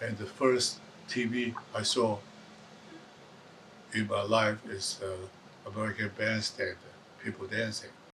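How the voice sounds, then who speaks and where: A man talks at a fairly slow pace and fairly low pitch, with long, frequent pauses. His intonation is monotone and flat, and there is noticeable background noise. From Taiwan. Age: 80s+. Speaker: retired electronics technician. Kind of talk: documentary interview. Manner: halting.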